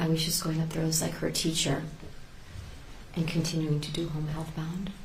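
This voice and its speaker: A soft-spoken woman with a very deep, low pitch, a fairly quick pace, noticeable background noise and audible room echo. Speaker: teacher, trial witness. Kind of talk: court testimony. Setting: courtroom. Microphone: hard to hear, too quiet.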